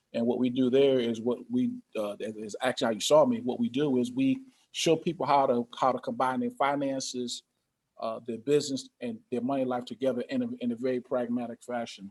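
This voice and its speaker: Using a normal speaking voice with an American accent, a man talks at a fairly quick pace and medium pitch. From Connecticut, US Northeast. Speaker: pastor and financial coach. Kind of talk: interview.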